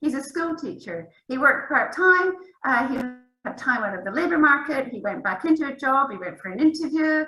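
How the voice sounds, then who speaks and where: A woman's high-pitched, raised and projected voice with lively intonation and a bright, sharp tone. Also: moderate pace, big swings in loudness. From Scotland. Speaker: academic researcher. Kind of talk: panel discussion.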